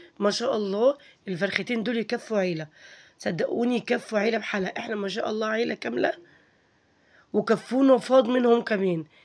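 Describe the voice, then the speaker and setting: A woman talks at a moderate pace with a fairly high pitch. She speaks in an Egyptian accent. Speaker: home cooking vlogger. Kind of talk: casual vlog narration. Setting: home kitchen.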